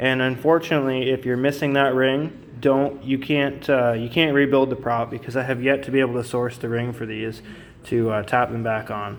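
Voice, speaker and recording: A man's medium-pitched, monotone, flat voice over noticeable background noise. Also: moderate pace. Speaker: outboard motor mechanic. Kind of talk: tutorial. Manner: halting, many fillers; unscripted, conversational.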